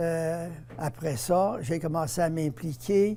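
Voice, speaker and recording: This man has a Quebec accent and a fairly high pitch. His tone is dark and mellow, with ordinary pitch variation. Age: 80s+. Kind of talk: interview.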